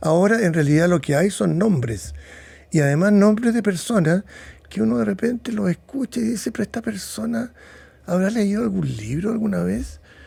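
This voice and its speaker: This man's voice sits high for a man, with a dark, mellow tone. His pitch swings very widely as he talks at a moderate pace. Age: 70s. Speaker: psychiatrist. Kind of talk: interview.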